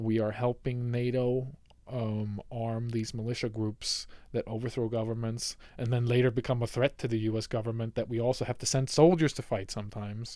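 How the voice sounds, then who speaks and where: On a very clean recording with a silent background, a man of medium pitch talks at a fairly quick pace with a dark, mellow tone and monotone, flat intonation. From Sweden. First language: Swedish. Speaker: political commentator. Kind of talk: unscripted livestream commentary. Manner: halting, many fillers and restarts.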